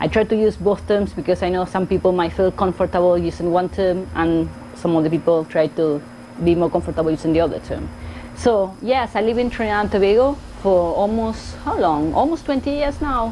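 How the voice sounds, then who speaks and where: A woman with a strong Argentine accent speaks fairly quickly with lively intonation over noticeable background noise. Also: medium pitch for a woman. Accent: thick Argentine Spanish. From Argentina, Buenos Aires. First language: Spanish. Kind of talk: casual vlog talk to camera.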